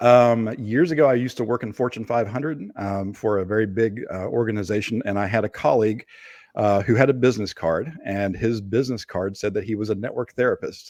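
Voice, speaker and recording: A man with a slight Appalachian accent, talking at a fairly quick pace. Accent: slight Appalachian twang. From Appalachia, Kentucky. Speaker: digital forensics expert. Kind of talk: interview. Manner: hesitant, many fillers.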